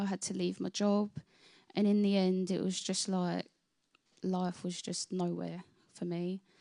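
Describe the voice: The voice has a dark, mellow tone and little pitch movement, recorded with a dry, close sound with no echo. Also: woman.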